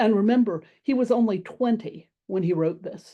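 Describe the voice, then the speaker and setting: Against a quiet background, a woman with an American accent speaks at a moderate pace in a dark, mellow tone with ordinary pitch variation. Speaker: classics professor. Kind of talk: lecture. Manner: formal.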